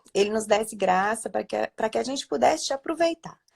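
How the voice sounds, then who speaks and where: Recorded with a dry, close sound and no echo, a woman speaks in a Minas Gerais accent. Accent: mineiro. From Minas Gerais, Brazil. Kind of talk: religious live stream conversation. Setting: live stream from bedroom at home.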